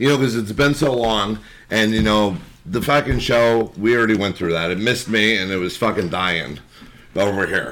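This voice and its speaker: A normal speaking voice from a man, fairly low in pitch, with lively intonation and a fairly quick pace. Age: 30s. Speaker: podcast guest. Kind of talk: casual chat.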